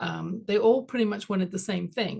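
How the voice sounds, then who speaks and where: The voice is somewhat breathy, with an English accent. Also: woman. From London, England. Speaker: executive coach and author. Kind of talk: interview.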